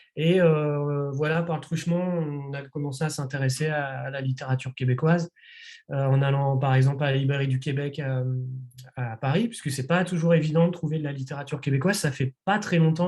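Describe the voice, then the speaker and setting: Recorded very cleanly against a silent background, a man's fairly high, somewhat breathy voice has a dark, mellow tone and fairly even intonation. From France, Nantes. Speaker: publisher. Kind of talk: interview. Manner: hesitant, many fillers.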